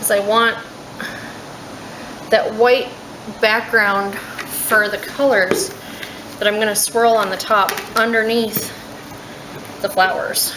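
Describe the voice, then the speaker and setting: Soft-spoken and monotone, with flat intonation, a woman with a fairly high pitch talks at a very slow pace with long, frequent pauses, amid audible room echo and noticeable background noise. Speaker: soap maker. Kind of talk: tutorial.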